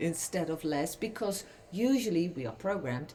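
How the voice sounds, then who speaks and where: A woman speaks fairly slowly with lively intonation over noticeable background noise. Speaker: spiritual singer and oracle card reader. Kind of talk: livestream chat. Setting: livestream recording.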